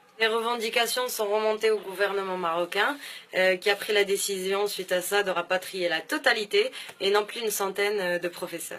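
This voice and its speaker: A woman talks at a moderate pace with a medium pitch and fairly even intonation. Noticeable background noise sits behind her. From southern France (Béziers), born in Morocco. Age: 20s. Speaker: business school student. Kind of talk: personal testimony to camera. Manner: hesitant, many filler sounds.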